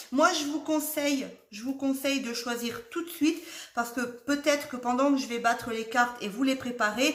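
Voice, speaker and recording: A woman at a fairly quick pace, with noticeable background noise and audible room echo. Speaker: tarot card reader. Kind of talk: tarot reading video. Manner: chatty, rambling.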